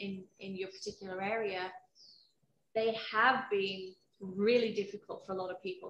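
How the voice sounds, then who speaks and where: At a moderate pace, a woman speaks at a medium pitch with fairly even intonation, with audible room echo and light background noise. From UK. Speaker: HR professional; interview guest. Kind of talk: personal testimony interview; interview answer. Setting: video call from home. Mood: reflective, candid. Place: garden.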